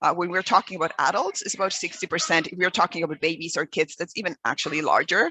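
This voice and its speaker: Speaking with a Mexican accent, a woman uses a fairly low pitch, ordinary pitch variation and a bright, sharp tone. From Mexico. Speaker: environmental educator. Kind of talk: webinar presentation. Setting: video call. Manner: hesitant, many fillers.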